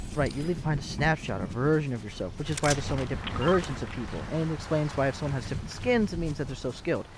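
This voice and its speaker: Over noticeable background noise, the speaker rushes along very fast with hardly any pauses. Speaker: game streamer. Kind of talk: live gameplay commentary. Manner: animated.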